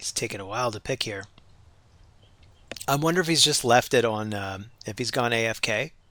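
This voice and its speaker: His tone bright and sharp, a man at a medium pitch uses ordinary pitch variation and leaves long, frequent pauses. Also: fairly quick pace. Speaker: gaming streamer. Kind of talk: live gameplay commentary. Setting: live stream.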